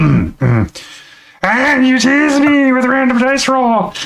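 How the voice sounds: Using a put-on character voice, a man speaks at an extremely high pitch. He goes at a very slow pace.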